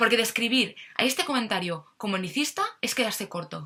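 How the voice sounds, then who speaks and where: A woman's fairly high voice at a moderate pace, with lively intonation. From Catalonia, Spain. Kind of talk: political opinion monologue to camera.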